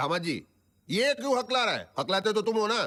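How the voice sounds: A man's high, bright, sharp put-on character voice with big pitch swings at a moderate pace.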